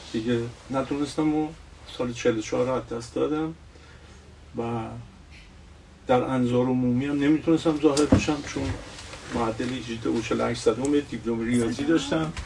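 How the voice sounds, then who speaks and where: A man speaks at a moderate pace and medium pitch with fairly even intonation and long, frequent pauses. Background noise is noticeable. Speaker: retired industrial executive and engineer. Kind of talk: interview. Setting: Instagram live stream.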